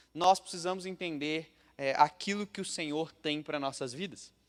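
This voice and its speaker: This man has a normal speaking voice, fairly high in pitch, with ordinary pitch variation. He talks at a fairly slow pace on a very clean recording with a silent background. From Brazil, Minas Gerais (Juiz de Fora). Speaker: pastor. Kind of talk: sermon. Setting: church.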